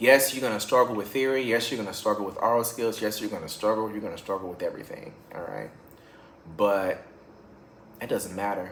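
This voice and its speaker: A man's medium-pitched voice with fairly even intonation, audible room echo and noticeable background noise. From Louisiana. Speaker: music teacher. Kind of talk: casual vlog monologue. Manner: halting, repeats words.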